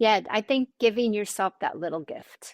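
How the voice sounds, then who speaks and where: A woman with vocal fry speaks with ordinary pitch variation in a dry, close sound with no echo. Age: 60s. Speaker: author and model. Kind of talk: interview answer.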